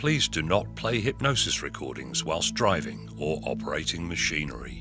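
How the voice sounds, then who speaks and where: Over music in the background, a man with an English accent speaks at a very deep, low pitch with very wide pitch swings. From England. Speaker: hypnotherapist. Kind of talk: guided hypnosis. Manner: slow, calm, soothing.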